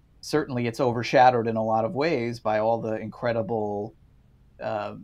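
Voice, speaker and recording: A man with a plain, everyday voice, fairly quick pace and fairly even intonation, over a quiet background. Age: 40s. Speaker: film critic. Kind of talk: casual chat.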